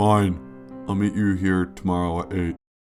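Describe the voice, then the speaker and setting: A man puts on a character voice with a very deep, low pitch. Faint music plays in the background. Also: moderate pace. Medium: read story.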